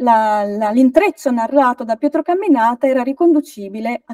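Dry and free of echo over a quiet background, a woman's dark, mellow, high-pitched voice moves at a moderate pace with lively intonation. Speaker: folklore researcher; guest. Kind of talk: lecture. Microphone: video call.

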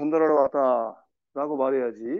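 A man is speaking. The background is quiet. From South Korea. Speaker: English teacher for seniors. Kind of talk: lecture. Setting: classroom with students. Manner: animated. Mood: playful, lighthearted. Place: classroom.

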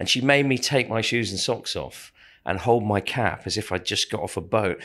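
A man with an ordinary speaking voice talks at a moderate pace, with medium pitch and ordinary pitch variation, on a very clean recording with a silent background. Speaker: stage actor. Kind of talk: interview.

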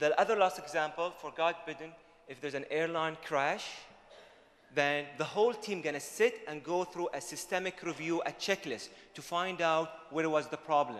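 A man at a moderate pace with ordinary pitch variation and big swings in loudness, over light background noise. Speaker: conference presenter. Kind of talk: lecture. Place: hall. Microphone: handheld.

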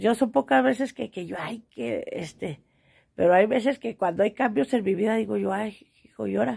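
At a moderate pace, a woman talks with vocal fry, a dark, mellow tone and very wide pitch swings. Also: quiet background. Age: 40s. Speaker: vlogger, small market trader; vlogger. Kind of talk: casual monologue to camera. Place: home room. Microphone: phone near.

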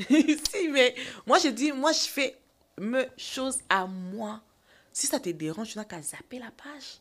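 Very slowly, a woman speaks in a high voice. Her pitch swings very widely and her loudness shifts a lot. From DR Congo. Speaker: actress and TikToker; actress. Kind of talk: interview, casual chat. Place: studio. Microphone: studio mic.

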